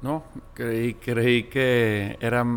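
A man with a Monterrey accent. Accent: northern Mexican (Monterrey). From Mexico, Monterrey. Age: 40s. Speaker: business executive. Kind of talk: interview.

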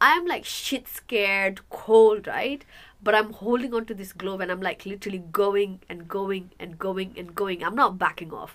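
A woman with a normal speaking voice talks at medium pitch with ordinary pitch variation and hardly any pauses. The recording is very clean, with a silent background. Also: moderate pace, big swings in loudness. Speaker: podcast co-host. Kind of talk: casual chat.

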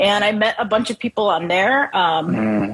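A woman with an American accent speaks at a fairly slow pace and a medium pitch, with noticeable background noise. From Chicago, US Midwest. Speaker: woodworker and business owner. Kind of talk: casual interview chat.

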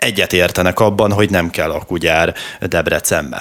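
Using a normal speaking voice, a man talks at a fairly slow pace with ordinary pitch variation. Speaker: radio host. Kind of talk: radio interview.

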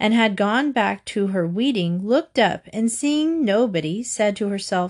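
Lively intonation throughout, reading aloud in a natural voice

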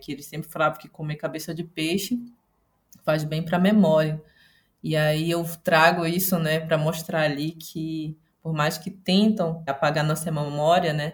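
A woman speaks at a moderate pace in a somewhat breathy, very deep, low voice with monotone, flat intonation. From Belém, Pará, Brazil. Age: 30s. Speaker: artist. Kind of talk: panel discussion.

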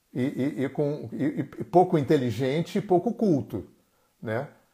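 With a Brazilian accent, a man talks at a fairly high pitch in a dark, mellow tone that is somewhat breathy. His intonation is lively, and the recording is very clean with a silent background. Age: 60s. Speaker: therapist and live-stream host. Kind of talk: solo live-stream talk. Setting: Instagram live stream.

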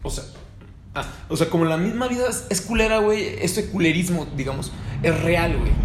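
A high-pitched man's voice with a Mexican accent, ordinary pitch variation, moderate pace and long, frequent pauses, with audible room echo and noticeable background noise. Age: 20s. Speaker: podcast host. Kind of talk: casual chat.

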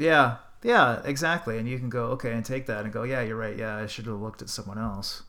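Speaking fairly quickly with a Canadian accent, a man has a medium pitch, ordinary pitch variation and a bright, sharp tone. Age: 40s. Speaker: DJ. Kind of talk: casual chat.

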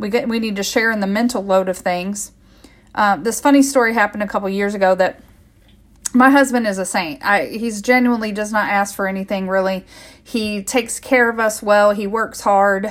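Speaking at a fairly quick pace, a woman uses an ordinary speaking voice of medium pitch with an American accent. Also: fairly even intonation. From US Midwest. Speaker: health coach and podcast host. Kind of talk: solo podcast monologue.

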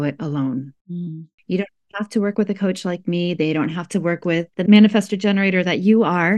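A woman with an unremarkable speaking voice, fairly low and fairly quick, with ordinary pitch variation, dry close sound with no echo, and a quiet background. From US Midwest, rural Iowa. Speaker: life coach and healer. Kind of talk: casual interview chat.

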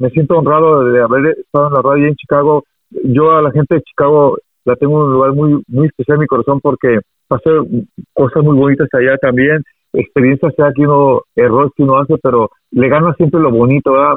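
A man with a fairly high pitch and an unremarkable speaking voice talks at a fairly quick pace, keeping very even loudness and fairly even intonation. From Mazatlán, Sinaloa, Mexico. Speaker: radio announcer. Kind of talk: casual interview.

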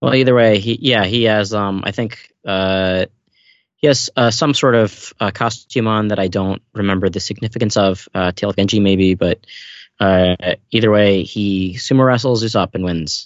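With ordinary pitch variation, an ordinary speaking voice talks at a moderate pace. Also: man, fairly low pitch for a man. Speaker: podcast co-host. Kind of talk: casual chat.

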